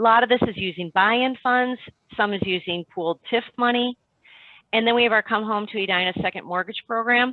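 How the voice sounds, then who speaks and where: A woman talks at a fairly quick pace. Her pitch is fairly high and varies in an ordinary way. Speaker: city housing program manager. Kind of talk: panel presentation. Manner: fast; animated.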